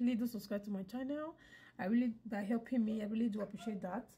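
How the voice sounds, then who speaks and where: A woman with a dark, mellow tone and a somewhat breathy voice talks at a fairly quick pace. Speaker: hair tutorial vlogger. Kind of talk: casual vlog talk to viewers.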